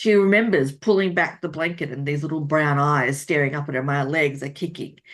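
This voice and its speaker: Someone with an Australian accent talks at a fairly quick pace with ordinary pitch variation against a quiet background. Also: woman. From Australia, rural New South Wales. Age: 40s. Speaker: romance author. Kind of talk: interview.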